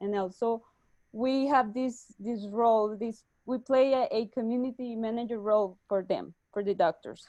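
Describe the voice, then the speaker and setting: With a Spanish accent, a woman speaks at a moderate pace in a fairly high pitch and a dark, mellow tone. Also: fairly even intonation. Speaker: startup executive. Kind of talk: webinar interview. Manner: halting.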